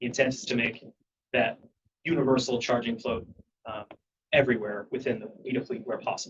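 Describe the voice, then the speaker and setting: The speech moves at a very fast pace. The voice is somewhat breathy. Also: man. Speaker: ferry agency engineering staff presenter. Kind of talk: board meeting presentation. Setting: public board meeting.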